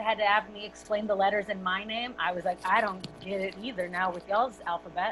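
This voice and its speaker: Music plays in the background as a woman talks at a moderate pace with medium pitch. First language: Spanish. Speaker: actress. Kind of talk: casual panel discussion.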